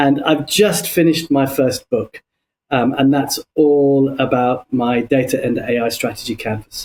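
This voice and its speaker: A man with a London accent talks at a fairly slow pace in a fairly high pitch with ordinary pitch variation. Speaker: business consultant. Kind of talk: podcast interview. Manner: hesitant, many fillers.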